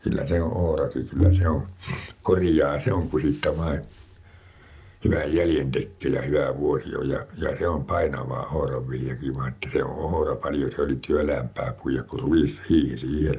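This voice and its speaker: A fairly slow pace with ordinary pitch variation. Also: man, very deep, low pitch for a man. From Pattijoki, Northern Ostrobothnia, Finland. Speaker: farmer. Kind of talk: interview answer. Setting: farmhouse room.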